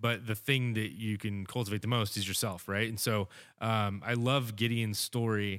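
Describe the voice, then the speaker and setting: At a moderate pace, a man speaks in a normal speaking voice with a fairly low pitch and fairly even intonation. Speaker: podcast host. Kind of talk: casual chat. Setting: studio.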